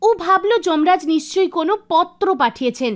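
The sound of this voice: A woman speaks in an extremely high pitch with lively intonation. Her pace is moderate.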